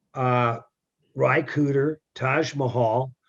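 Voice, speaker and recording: Speaking at a medium pitch with fairly even intonation, a man has an American accent. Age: 60s. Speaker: folk singer-songwriter. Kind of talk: interview.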